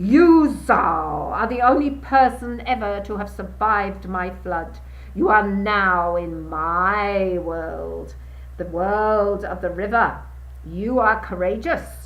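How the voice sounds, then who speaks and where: A woman's put-on character voice, very slow, with audible echo and a hiss. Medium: read story. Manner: menacing, arrogant.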